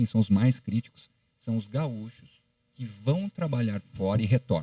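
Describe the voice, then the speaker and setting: Dry and close with no echo, a man's dark, mellow voice at a medium pitch moves at a moderate pace. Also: lively intonation. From Paraná, Brazil (Maringá). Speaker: podcast host. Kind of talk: podcast interview.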